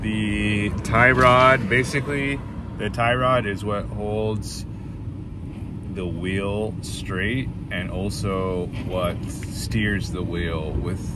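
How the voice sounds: A man speaks at a very slow pace with a fairly low pitch and fairly even intonation. Clear background noise and audible room echo surround him.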